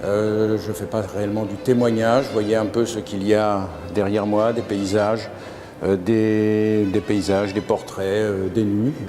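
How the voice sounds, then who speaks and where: Over music in the background and audible room echo, a man with a fairly low voice speaks at a fairly slow pace in a monotone, flat intonation. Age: 70s. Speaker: amateur photographer, photo club president. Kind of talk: interview monologue. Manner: hesitant, many fillers.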